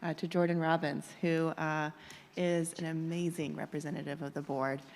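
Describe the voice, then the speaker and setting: A woman with a fairly low pitch and a normal speaking voice talks at a moderate pace with fairly even intonation. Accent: American. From Cherokee Nation, US. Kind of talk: formal presentation. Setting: public board meeting in auditorium.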